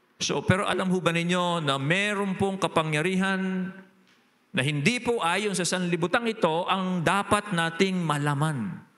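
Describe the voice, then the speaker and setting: The tone is bright and sharp, with ordinary pitch variation and a moderate pace. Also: man, high pitch for a man. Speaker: pastor. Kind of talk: sermon. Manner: changes voice when preaching.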